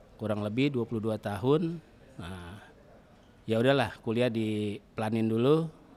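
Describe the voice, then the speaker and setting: This man has a medium pitch and a dark, mellow tone. He speaks at a fairly slow pace with ordinary pitch variation. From Jakarta, Betawi (Tanjung Priok). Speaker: shipping company branch manager. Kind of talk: podcast interview.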